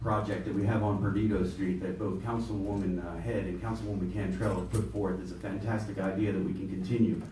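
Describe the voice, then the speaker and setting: Fairly quick speech with fairly even intonation, audible room echo and light background noise. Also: man. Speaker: political candidate; candidate. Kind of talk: candidates' forum. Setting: stage with audience. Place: meeting room.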